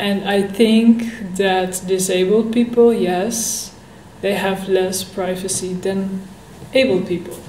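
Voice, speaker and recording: A woman of medium pitch with a Dutch accent speaks very slowly in a flat monotone, with audible room echo and noticeable background noise. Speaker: vlogger. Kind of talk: casual Q&A vlog. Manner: halting.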